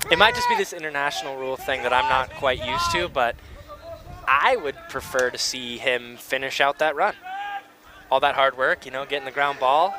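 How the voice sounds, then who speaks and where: A man with an American accent talks at a fairly quick pace over noticeable background noise. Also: fairly high pitch for a man, ordinary pitch variation. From United States. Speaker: sports commentator. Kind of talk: live commentary.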